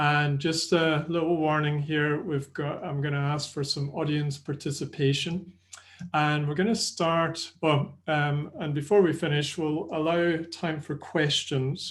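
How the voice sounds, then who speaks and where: A man with a Scottish accent speaks at a fairly slow pace in a somewhat breathy, fairly high voice. His intonation stays monotone and flat. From Scotland. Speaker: sports nutrition presenter. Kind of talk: webinar presentation. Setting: online webinar. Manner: conversational.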